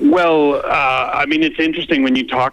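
A man speaks with a Canadian accent. Noticeable background noise can be heard. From Canada. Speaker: light artist, artistic director. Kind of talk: phone interview. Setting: phone call. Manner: repetitive, stammering restarts.

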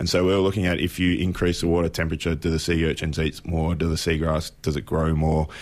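Spoken in an Australian accent at a very fast pace, the words come with monotone, flat intonation, hardly any pauses and very even loudness. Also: man, very deep, low pitch for a man. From Apollo Bay, Victoria, Australia. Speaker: marine scientist. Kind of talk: casual interview.

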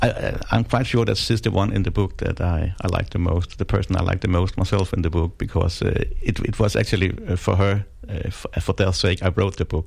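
Noticeable background noise surrounds a man with a Danish accent who speaks at a moderate pace in a very deep, low voice, with ordinary pitch variation and very even loudness. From Denmark. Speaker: crime novelist. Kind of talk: interview. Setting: studio. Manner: halting.

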